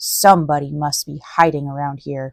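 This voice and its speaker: A female-sounding put-on character voice speaks at a moderate pace in a low-to-middle pitch. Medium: read story.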